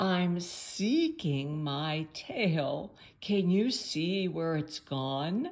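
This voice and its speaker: A woman uses a put-on character voice, fairly low in pitch and hissing. She speaks at a very slow pace. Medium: read story.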